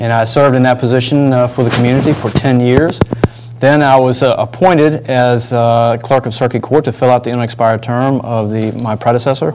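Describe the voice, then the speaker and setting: With a Virginia accent and noticeable background noise, a man at medium pitch talks at a fairly quick pace with fairly even intonation. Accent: Virginia Southern American. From Virginia (Northern Neck, Warsaw). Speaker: attorney and political candidate. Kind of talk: interview.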